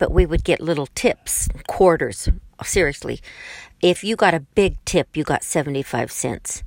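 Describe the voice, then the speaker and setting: A woman with an American accent and a plain, everyday voice, fairly low in pitch with ordinary pitch variation, at a moderate pace, in a very clean, dry, close recording with a silent background and no echo. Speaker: grandmother, former hairdresser. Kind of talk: casual family recording. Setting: in a car in the garage.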